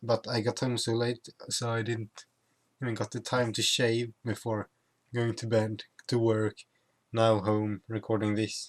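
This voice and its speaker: The sound is dry and close with no echo as a man with a Swedish accent talks fairly slowly in a flat monotone, leaving long, frequent pauses. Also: medium pitch for a man, very clean recording, silent background. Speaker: YouTuber. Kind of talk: casual vlog. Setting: at home.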